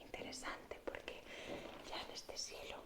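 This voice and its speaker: Someone whispers at a fairly slow pace over noticeable background noise. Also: woman. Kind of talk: ASMR whispered explanation to camera. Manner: whispered, soft, relaxing.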